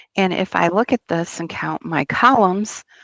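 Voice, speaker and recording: A woman talks at a fairly slow pace with ordinary pitch variation, her voice dry and close with no echo. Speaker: teacher. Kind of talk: tutorial.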